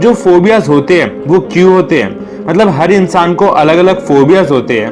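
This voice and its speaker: Music plays behind a man with a high voice. His pitch varies in an ordinary way. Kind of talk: fact countdown narration. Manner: energetic.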